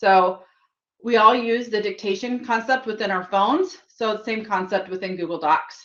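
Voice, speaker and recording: With an ordinary speaking voice, a woman talks at a fairly high pitch and moderate pace, using ordinary pitch variation. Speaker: tech trainer. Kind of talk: tutorial.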